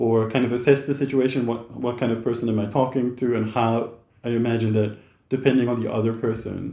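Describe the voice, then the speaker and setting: At a fairly quick pace, a man speaks in a medium-pitched, dark and mellow voice with monotone, flat intonation. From Netherlands. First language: Dutch. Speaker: YouTuber, interviewer. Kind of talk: casual chat. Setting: in person, in the Netherlands.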